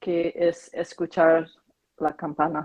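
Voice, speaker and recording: A woman speaks at a fairly low pitch with monotone, flat intonation. The sound is dry and close with no echo. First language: Korean (speaking Spanish). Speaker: meditation practitioner. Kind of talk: casual chat. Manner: halting.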